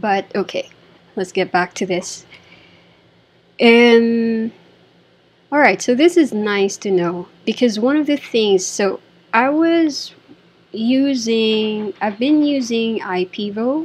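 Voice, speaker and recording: A woman talks at a fairly high pitch. Her pace is very slow. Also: lively intonation. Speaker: designer reviewing software. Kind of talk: screen-recorded software review. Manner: halting, thinking aloud.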